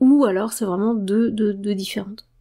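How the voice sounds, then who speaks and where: Her tone dark and mellow, a woman speaks at medium pitch. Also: very clean recording, silent background. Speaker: esoteric book reader and commentator. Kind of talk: reading aloud with commentary. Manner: halting, many fillers and repetitions.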